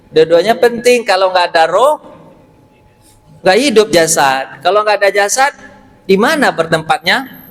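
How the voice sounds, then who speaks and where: Here a man with a West Sumatran accent talks in a high pitch with lively intonation and an animated tone. Noticeable background noise can be heard. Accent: Pariaman Minang. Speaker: Islamic preacher. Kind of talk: sermon. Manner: animated, conversational with audience.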